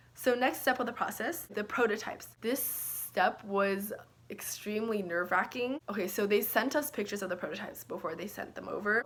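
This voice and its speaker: A woman with ordinary pitch variation, against noticeable background noise. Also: fairly high pitch for a woman, fairly quick pace. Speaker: small business founder and YouTuber. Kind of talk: casual vlog explanation. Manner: fast; casual, filler-heavy.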